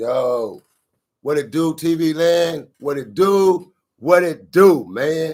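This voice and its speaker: Speaking very slowly, the man uses a fairly high pitch with ordinary variation in it. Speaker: bounty hunter and online commentary host. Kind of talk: casual commentary monologue. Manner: laid back.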